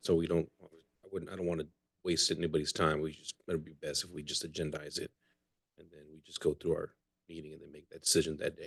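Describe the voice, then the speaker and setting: Speaking quietly and very fast, a man shows big swings in loudness. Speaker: mayor. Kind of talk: council meeting discussion. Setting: city council chamber.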